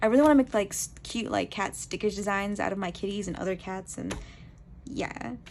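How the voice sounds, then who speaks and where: With vocal fry and a medium pitch, a woman talks at a fairly quick pace against a quiet background. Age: 20s. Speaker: amateur artist. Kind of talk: casual talk to camera. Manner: fast.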